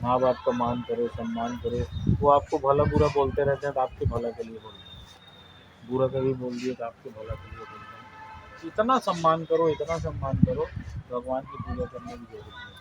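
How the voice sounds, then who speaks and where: A man's voice rises and falls sharply in loudness. Noticeable background noise runs underneath. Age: 60s. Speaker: retiring school principal. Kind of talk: farewell speech to students.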